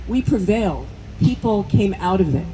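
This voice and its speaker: A woman speaks with a New Jersey accent over noticeable background noise. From US Northeast, New Jersey. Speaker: medical school dean, scientist. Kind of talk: rally speech. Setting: outdoor rally with crowd.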